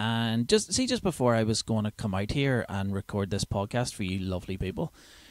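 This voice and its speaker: Recorded very cleanly against a silent background, a man with a Northern Irish accent talks in a fairly low pitch, the sound dry and close with no echo. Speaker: comedian. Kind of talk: comedy podcast monologue. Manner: casual, chatty.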